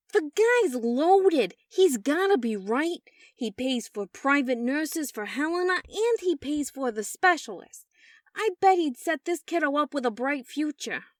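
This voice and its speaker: A woman puts on a high-pitched character voice with very wide pitch swings at a moderate pace. The recording is very clean, with a silent background and a dry, close sound with no echo. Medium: read story. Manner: casual, buddy-like.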